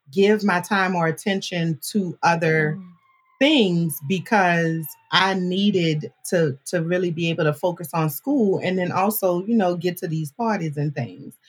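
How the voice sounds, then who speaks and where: At a fairly slow pace, a woman with an American accent speaks at medium pitch with ordinary pitch variation while music plays in the background. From New Orleans, Louisiana (Marrero, West Bank). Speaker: podcast producer and host, university alumna. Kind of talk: casual interview chat. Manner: animated.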